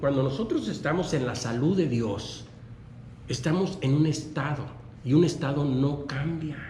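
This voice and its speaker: This man talks at a fairly slow pace with a fairly high pitch. His pitch varies in an ordinary way, and room echo is audible. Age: 60s. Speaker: preacher. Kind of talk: sermon. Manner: halting.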